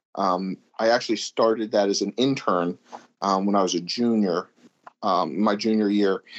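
A man with an American accent has an unremarkable speaking voice and a fairly low pitch. He talks at a fairly slow pace. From Pittsburgh, Pennsylvania. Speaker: champion axe thrower. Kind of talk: interview.

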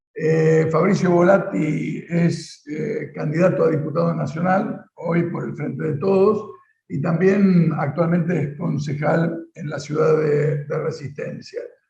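In a room with audible echo, a man with a fairly high voice talks at a very slow pace. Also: fairly even intonation. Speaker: political show host. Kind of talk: interview.

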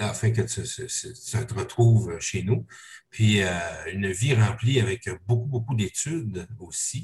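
A man speaks very slowly at a medium pitch, with ordinary pitch variation. Vocal fry runs through his voice. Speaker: parish podcast host. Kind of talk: interview. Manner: halting.

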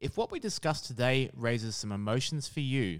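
In a very clean recording with a silent background, a man with a medium pitch speaks at a fairly quick pace with lively intonation. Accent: Australian. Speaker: podcast host. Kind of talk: scripted narration.

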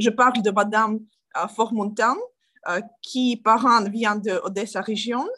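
In a Ukrainian accent, a woman speaks at a fairly high pitch with a bright, sharp tone and fairly even intonation. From Ukraine. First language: Ukrainian (speaking French). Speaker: politician. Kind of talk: interview. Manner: halting.

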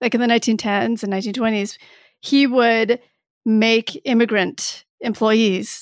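A woman with an American accent has an ordinary speaking voice, fairly high in pitch, at a moderate pace. The recording is very clean with a silent background, and the sound is dry and close with no echo. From Michigan, US Midwest. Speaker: writer and professor. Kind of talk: interview.

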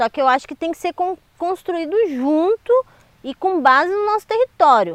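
With an extremely high pitch that swings very widely, a woman speaks at a moderate pace. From Ubatuba, São Paulo coast, Brazil. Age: 30s. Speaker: popular educator and community leader. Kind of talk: interview.

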